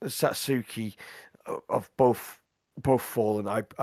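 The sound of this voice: Someone reads in an unforced voice with fairly even intonation. The background stays quiet.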